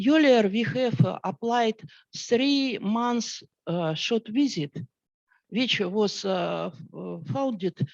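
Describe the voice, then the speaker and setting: The speaker talks at a very slow pace in a Russian accent. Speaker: scientist. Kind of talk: panel discussion. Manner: halting.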